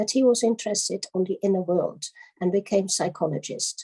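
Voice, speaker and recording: A woman speaks with a Dutch accent at a medium pitch. Her voice is somewhat breathy, with ordinary pitch variation. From Netherlands. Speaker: lecturer on giftedness and education. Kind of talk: conference lecture. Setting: conference. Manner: halting, many fillers.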